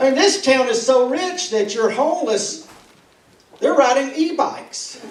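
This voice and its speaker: An extremely high-pitched man with a Tennessee accent, fairly slow delivery and lively intonation, over noticeable background noise. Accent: Southern US (Tennessee). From Tennessee, Hickory Tree. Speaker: stand-up comedian. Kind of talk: stand-up. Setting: stage with audience.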